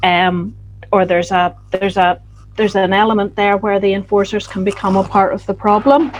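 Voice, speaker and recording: This woman talks at a fairly quick pace in a Northern Irish accent. Her intonation stays fairly even. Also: medium pitch for a woman. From Northern Ireland. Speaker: postgraduate researcher. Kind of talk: closing summary at online roundtable.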